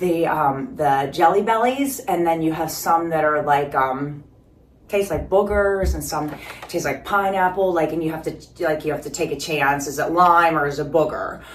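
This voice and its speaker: This woman's voice is very deep and low in pitch. Audible room echo surrounds it. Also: ordinary pitch variation, moderate pace. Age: 50s. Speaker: fitness vlogger. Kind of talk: casual vlog. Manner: rambling casual with fillers.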